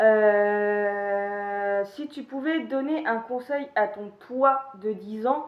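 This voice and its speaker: A woman's fairly high voice at a very slow pace, with ordinary pitch variation, big swings in loudness and hardly any pauses. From Paris region, France. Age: 20s. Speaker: YouTuber. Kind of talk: casual Q&A monologue. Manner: hesitant, many fillers.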